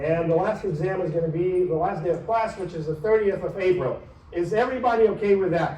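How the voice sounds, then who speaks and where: A man's high voice at a very fast pace, with audible room echo and noticeable background noise. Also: ordinary pitch variation. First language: not English. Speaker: university professor. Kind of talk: lecture. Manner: animated.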